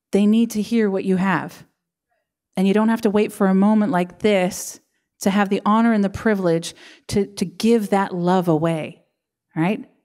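A woman's dark, mellow tone at a moderate pace, broken by long, frequent pauses, over a quiet background. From Canada. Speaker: pastor. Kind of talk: sermon. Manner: animated. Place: church. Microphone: handheld.

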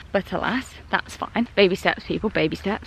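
Recorded dry with no echo, a woman talks at a fairly quick pace. Light background noise sits behind her. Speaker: vlogger. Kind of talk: casual vlog chat.

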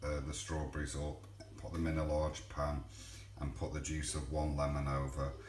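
A man speaks at a moderate pace with a very deep, low pitch. Noticeable background noise is present. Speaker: home cook vlogger. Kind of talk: casual cooking tutorial. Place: kitchen. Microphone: phone near.

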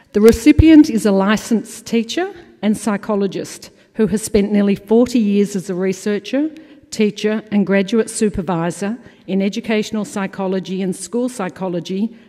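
At a moderate pace, a woman with an Australian accent talks against a quiet background. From Australia (Melbourne). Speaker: awards committee chair; conference presenter. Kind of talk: award presentation. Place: hall. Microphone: podium.

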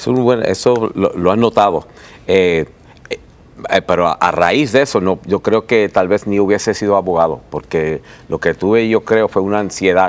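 Dry and close with no echo, a man's voice moves at a moderate pace with ordinary pitch variation. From New York, Puerto Rican family. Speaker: author and lawyer. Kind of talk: TV interview. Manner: halting.

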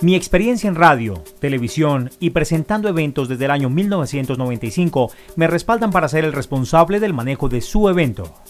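Faint music plays in the background as a man speaks at a fairly quick pace with hardly any pauses. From Colombia. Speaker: master of ceremonies; journalist and TV presenter. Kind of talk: promotional talk to camera. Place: home room.

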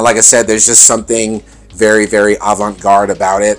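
A man's voice, with faint music in the background. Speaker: fashion reviewer. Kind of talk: casual vlog chat. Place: home room. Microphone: phone near.

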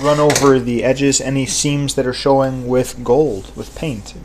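A man's monotone, flat delivery at a fairly slow pace, over light background noise. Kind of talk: tutorial. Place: workshop. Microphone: camera far.

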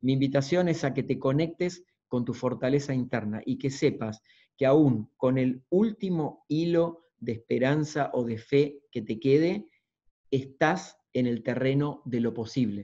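A man with an Argentine accent, medium pitch, ordinary pitch variation, a dark, mellow tone and a fairly slow pace, against a quiet background. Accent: Argentine (Rioplatense) Spanish. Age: 50s. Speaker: motivational speaker and coach. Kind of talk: lecture. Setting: video call. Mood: encouraging, inspirational. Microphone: video call.

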